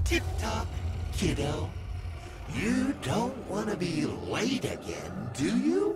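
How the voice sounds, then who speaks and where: A put-on character voice comes at a very slow pace, broken by long, frequent pauses, over loud background noise. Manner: sly, mocking, sing-song.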